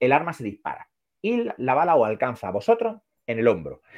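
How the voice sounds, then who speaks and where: A man speaks with an Andalusian accent at a fairly high pitch. His voice swings very widely in pitch and carries vocal fry. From Andalusia, Granada. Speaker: psychologist. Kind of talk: casual chat. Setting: live stream.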